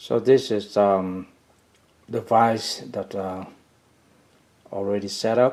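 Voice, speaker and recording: A man speaks with a fairly low pitch. His pace is very slow. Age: 60s. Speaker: hobbyist fly tyer. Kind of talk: casual product demo. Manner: halting, many fillers.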